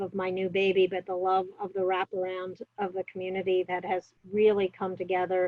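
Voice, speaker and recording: A woman with a New York accent, medium in pitch, at a moderate pace, in a dry, close sound with no echo. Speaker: public health officer. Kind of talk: interview. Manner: many fillers and hesitations.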